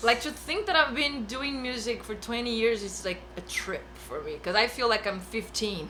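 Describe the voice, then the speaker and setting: A woman with a fairly high pitch speaks at a moderate pace with ordinary pitch variation and hardly any pauses, over noticeable background noise and audible room echo. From Brazil. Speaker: bass player. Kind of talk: casual chat. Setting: studio.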